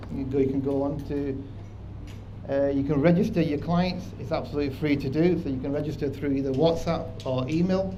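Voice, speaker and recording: A man with a strong Manchester accent speaks at a fairly quick pace and fairly high pitch, with ordinary pitch variation, audible room echo and noticeable background noise. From northern England, Manchester. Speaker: proptech company presenter. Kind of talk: conference presentation.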